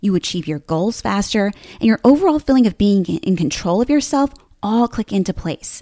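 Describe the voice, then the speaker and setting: A woman with an American accent speaks fairly quickly at a medium pitch, her intonation lively. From New Jersey. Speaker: podcast host, personal development coach. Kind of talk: solo podcast monologue, casual and conversational. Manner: animated, humorous, self-deprecating.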